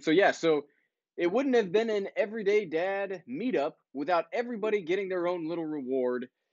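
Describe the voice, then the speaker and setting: A loud man with lively intonation at a moderate pace. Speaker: YouTuber, drone vlogger. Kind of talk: live stream chat. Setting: live stream.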